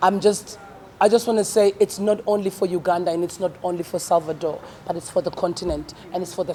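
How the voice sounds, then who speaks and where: Background noise is clearly heard under a fairly quick delivery. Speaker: comedian. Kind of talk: press conference speech. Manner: fast.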